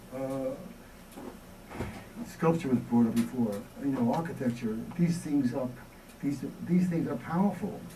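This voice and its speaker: In a New York accent, a man talks in a fairly high pitch at a fairly slow pace. Long, frequent pauses break up his speech, and audible room echo can be heard. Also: ordinary pitch variation. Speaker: experimental filmmaker. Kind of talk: Q&A after a lecture. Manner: halting.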